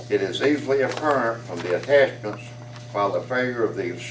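A man talks at a moderate pace. Audible room echo and light background noise come through. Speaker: resident addressing city council. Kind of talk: reading a letter aloud at a public meeting. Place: hall.

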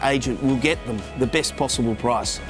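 A man speaks at a fairly quick pace. Clear music plays in the background. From Australia, Melbourne. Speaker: real estate sales director and auctioneer. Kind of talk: corporate promotional talk to camera. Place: waterside. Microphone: lapel.

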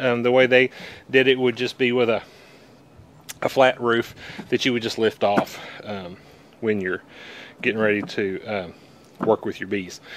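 A man at a moderate pace with long, frequent pauses, fairly even intonation, and a dry sound with no echo. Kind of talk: tutorial. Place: garden. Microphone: phone near.

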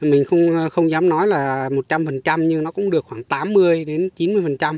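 Recorded dry with no echo, a man speaks at a fairly high pitch with ordinary pitch variation. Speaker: strawberry farmer and video creator; video creator. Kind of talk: tutorial. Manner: repetitive, hesitant with fillers. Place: garden. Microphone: phone near.

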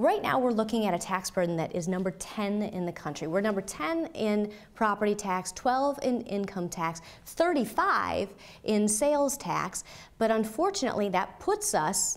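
Lively intonation marks this woman's speech at a moderate pace. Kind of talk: interview answer. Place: office.

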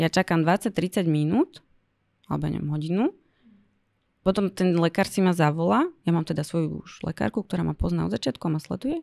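A woman talks at a fairly quick pace, with big swings in loudness. The background is quiet. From Slovakia. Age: 30s. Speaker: blogger and cancer patient; podcast guest. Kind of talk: interview. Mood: serious, reflective. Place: studio. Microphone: studio mic.

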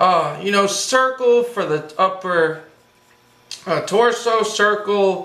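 A raised, projected voice at a very slow pace, with ordinary pitch variation and audible room echo. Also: man. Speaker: cartoon drawing instructor. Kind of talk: tutorial. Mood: enthusiastic, friendly.

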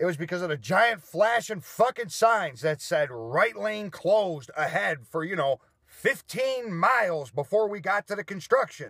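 A man's bright, sharp voice with lively intonation at a fairly slow pace, dry with no echo, over a quiet background. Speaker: vlogger. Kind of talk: casual vlog rant. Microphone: phone near.

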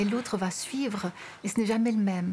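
A woman uses an ordinary speaking voice at a medium pitch with fairly even intonation. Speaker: painter. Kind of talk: interview answer.

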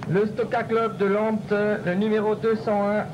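Very slow speech over noticeable background noise. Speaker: stock-car announcer. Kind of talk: live PA announcement presenting drivers to a crowd. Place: stadium. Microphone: pa.

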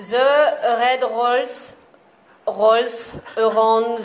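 A woman with a French accent speaks at a very slow pace and fairly high pitch with fairly even intonation over light background noise. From France. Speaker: graphic designer. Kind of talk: reading tongue twister aloud. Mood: playful, hesitant. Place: studio. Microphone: lapel.

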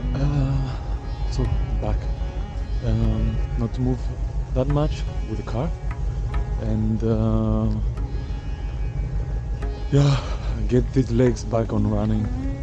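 A man's very deep, low voice, monotone and flat, at a very slow pace with long, frequent pauses, dry with no echo, clear music in the background. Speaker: travel vlogger. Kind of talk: casual vlog chat. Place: waterside. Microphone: phone near.

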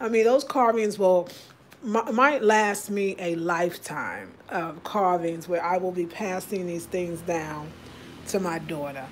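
Over light background noise, a woman speaks fairly slowly with ordinary pitch variation. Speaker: home vlogger. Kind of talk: casual vlog chat. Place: kitchen. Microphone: phone near.

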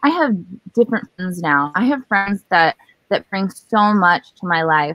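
A woman's fairly low voice at a moderate pace, dry with no echo, over a quiet background. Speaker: holistic health coach. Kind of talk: interview. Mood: warm, upbeat. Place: garden. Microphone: video call.

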